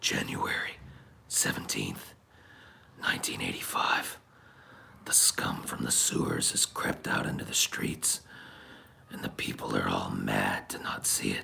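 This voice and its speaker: A man's put-on character voice, raspy, gravelly and growling, at a moderate pace. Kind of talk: low. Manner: grim, brooding.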